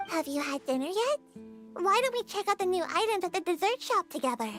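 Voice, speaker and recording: A put-on character voice at an extremely high pitch goes at a fairly quick pace over clear background music. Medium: game stream. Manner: cheerful, chatty.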